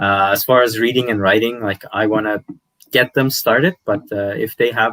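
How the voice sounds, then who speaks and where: Bright and sharp in tone, the speaker uses a Persian accent at a moderate pace with fairly even intonation, the sound dry and close with no echo. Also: man, medium pitch for a man. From Iran, Tehran, then Canada from age 10. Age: 30s. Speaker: language youtuber. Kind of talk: podcast interview. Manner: hesitant, many fillers.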